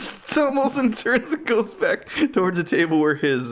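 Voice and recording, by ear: The speaker reads a passage aloud in a natural voice.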